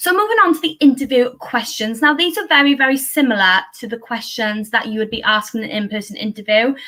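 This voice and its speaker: The speaker talks at a very fast pace in a Welsh accent, with hardly any pauses. The intonation is lively. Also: woman, high pitch for a woman. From south Wales. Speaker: early career teacher. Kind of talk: talk at an online panel event.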